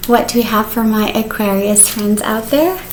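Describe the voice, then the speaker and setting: Over noticeable background noise and audible room echo, a woman speaks at a fairly high pitch. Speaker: tarot reader. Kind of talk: tarot reading. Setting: home, on the sofa. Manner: fast; casual, chatty.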